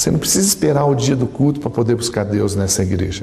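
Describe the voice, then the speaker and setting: Room echo and noticeable background noise are audible as a man speaks at a moderate pace. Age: 60s. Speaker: preacher. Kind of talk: sermon. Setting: church.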